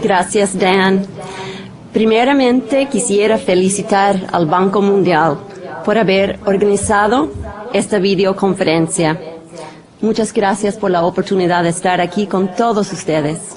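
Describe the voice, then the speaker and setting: A woman with a non-native accent at a medium pitch, fairly slow pace, very even loudness and ordinary pitch variation, with noticeable background noise. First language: not Spanish (speaking Spanish). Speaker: translation department manager; presenter. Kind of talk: conference presentation. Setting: studio videoconference. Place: studio. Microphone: podium.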